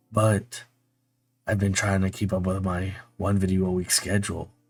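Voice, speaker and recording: Music plays in the background. The speaker keeps a moderate pace in a monotone with flat intonation. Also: man. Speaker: book youtuber. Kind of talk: casual vlog voiceover.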